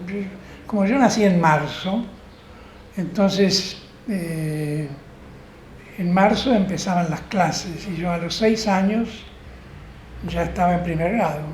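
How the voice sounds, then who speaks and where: A man with a high voice talks very slowly, leaving long, frequent pauses, with ordinary pitch variation. The room echo is audible and background noise is noticeable. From Argentina, Rosario. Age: 80s+. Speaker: law professor. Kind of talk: interview. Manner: hesitant, with fillers.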